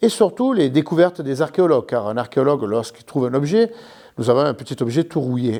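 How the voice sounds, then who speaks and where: A man with a southern French accent and a dark, mellow tone speaks with very wide pitch swings. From southern France, Carpentras (Vaucluse). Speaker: historical reenactment association president. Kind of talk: interview explanation. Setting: museum.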